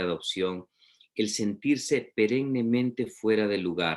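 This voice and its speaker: The pace is fairly slow for this male speaker. He keeps his intonation fairly even. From Peru. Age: 40s. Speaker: literature professor. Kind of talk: lecture. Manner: halting, many fillers.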